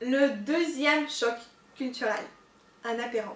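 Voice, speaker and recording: A woman speaks at a high pitch with a slight Russian accent. Audible room echo and noticeable background noise surround her voice. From Russia, Moscow. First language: Russian (speaking French). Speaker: YouTuber, expat vlogger. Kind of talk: casual vlog. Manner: hesitant, many fillers.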